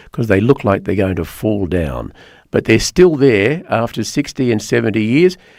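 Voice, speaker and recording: At a medium pitch, a man speaks with very wide pitch swings. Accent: Australian. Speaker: talk radio host. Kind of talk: call-in chat show. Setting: studio. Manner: slow.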